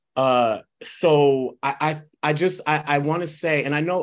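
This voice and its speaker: A man speaks with ordinary pitch variation. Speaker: committee member. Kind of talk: public meeting discussion.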